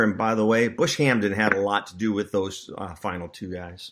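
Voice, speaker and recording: At a moderate pace, a man with a normal speaking voice talks in a fairly low pitch with fairly even intonation, in a very clean recording with a silent background. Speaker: recruiting analyst podcast host. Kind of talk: casual sports podcast chat.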